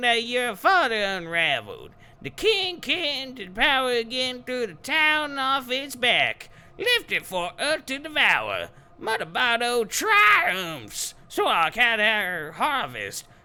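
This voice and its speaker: A man in a put-on character voice talks fairly slowly at an extremely high pitch. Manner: ominous, witchy.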